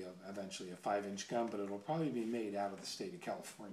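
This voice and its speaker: Audible room echo and noticeable background noise accompany a man talking very fast at a fairly low pitch with fairly even intonation. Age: 60s. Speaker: gun enthusiast video blogger, military veteran. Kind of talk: casual monologue vlog. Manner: halting, many fillers.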